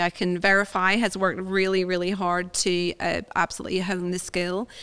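Hardly pausing, a woman speaks at a fairly quick pace and medium pitch. Her intonation is monotone and flat, and the recording is very clean with a silent background. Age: 40s. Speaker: podcast host and family doctor. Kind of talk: casual interview.

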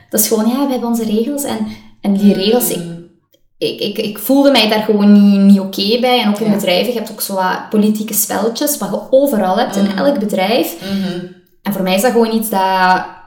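A woman's very fast speech in a Limburg accent, medium in pitch with fairly even intonation and audible room echo. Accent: Limburg Flemish. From Belgian Limburg (Riemst, Beverlo). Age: 30s. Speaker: coach, podcast co-host. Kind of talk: casual interview chat.

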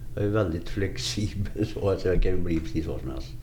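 Vocal fry runs through a dark, mellow tone at a fairly quick pace, with ordinary pitch variation and audible room echo. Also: man. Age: 50s. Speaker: recovering addict sharing life story. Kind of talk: interview testimony.

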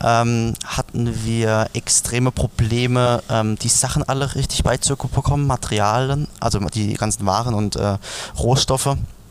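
A normal speaking voice at a fairly slow pace. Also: man. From Palatinate, Germany. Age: 20s. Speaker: beverage brand founder. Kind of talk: interview.

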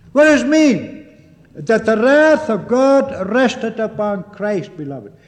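Over noticeable background noise, a man with an extremely high pitch talks at a very slow pace with lively intonation. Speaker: preacher. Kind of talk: 1950s sermon, solemn, pulpit exposition of a catechism Lord's Day. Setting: church. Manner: earnest, deliberate, fervent, formal; emphatic, with repeated address to the congregation as 'beloved'.

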